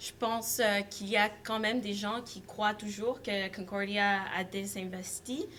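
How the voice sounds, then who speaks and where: Over noticeable background noise, a woman with a non-native accent speaks very slowly at a fairly high pitch with ordinary pitch variation. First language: not French (speaking French). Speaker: student environmental activist. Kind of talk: panel talk. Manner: halting, frequent hesitations.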